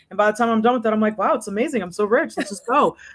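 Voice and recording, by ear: A woman's very fast delivery, fairly high in pitch, with ordinary pitch variation.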